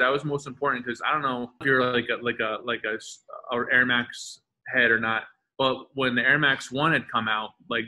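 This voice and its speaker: Using an ordinary speaking voice, a man talks with medium pitch and fairly even intonation. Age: 40s. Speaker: custom sneaker artist. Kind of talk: interview. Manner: casual, filler-heavy with repetitions.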